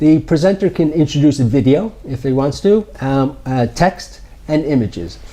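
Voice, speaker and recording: A fairly high-pitched man with an American accent, moderate pace and lively intonation, against noticeable background noise. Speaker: startup founder or executive. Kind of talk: interview. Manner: hesitant with many fillers.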